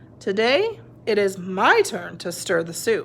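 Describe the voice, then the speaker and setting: Someone speaks in a put-on character voice at a fairly slow pace over clear background noise. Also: woman, medium pitch for a woman. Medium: read story.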